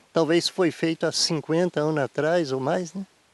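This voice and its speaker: Dry, close sound with no echo from a man speaking at a moderate pace. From Brazil, Rio Doce region (Espírito Santo). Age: 60s. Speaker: farmer. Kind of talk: interview. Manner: halting.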